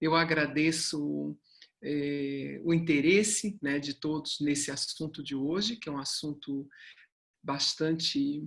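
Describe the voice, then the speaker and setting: Her voice is very deep and low, and this woman speaks at a very slow pace with ordinary pitch variation. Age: 60s. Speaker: human development mentor and company founder. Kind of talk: online talk.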